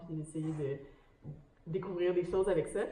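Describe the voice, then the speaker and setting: Heard in audible room echo, a woman with a Quebec accent talks at a fairly quick pace. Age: young. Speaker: ocean researcher, academic. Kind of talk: panel discussion. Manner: hesitant, many fillers.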